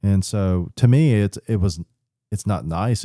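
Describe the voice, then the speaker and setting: A man speaks with a very deep, low pitch and a dark, mellow tone. The recording is very clean with a silent background and a dry, close sound with no echo. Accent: American. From Florida, Polk County (Lakeland). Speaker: business founder. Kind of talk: casual interview chat. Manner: halting, many fillers.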